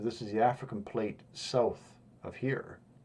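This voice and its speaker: Speaking with a Western Canadian accent, a man uses a medium pitch, a dark, mellow tone, fairly even intonation and a fairly slow pace. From Western Canada. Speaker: YouTuber explaining pole-shift safe locations. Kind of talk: map tutorial monologue. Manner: halting, many fillers.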